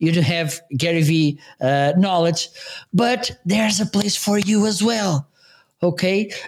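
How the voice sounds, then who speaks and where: A man with a Portuguese accent speaks at a fairly slow pace in a high pitch. His pitch varies in an ordinary way and his loudness stays very even. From Portugal. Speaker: live streaming co-host. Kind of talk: casual chat.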